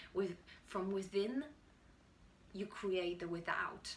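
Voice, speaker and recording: Speaking with a Polish accent, a woman uses a fairly low pitch, a bright, sharp tone and fairly even intonation at a moderate pace, with audible room echo around her. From Poland. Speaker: YouTuber and budding actor. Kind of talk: motivational talk to camera. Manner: halting, with restarts.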